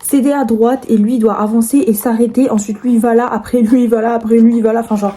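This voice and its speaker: A woman at a very fast pace, with hardly any pauses and a monotone, flat delivery. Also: fairly high pitch for a woman. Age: 20s. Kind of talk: casual talk to camera.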